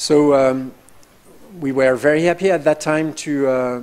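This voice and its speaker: A man speaks at a fairly slow pace with a French accent. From France. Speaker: professor. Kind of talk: information session presentation. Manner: hesitant, many fillers.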